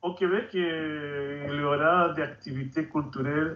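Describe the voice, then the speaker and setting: A man's fairly high voice at a very slow pace, with fairly even intonation. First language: Spanish (speaking French). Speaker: author and activist. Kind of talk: TV interview.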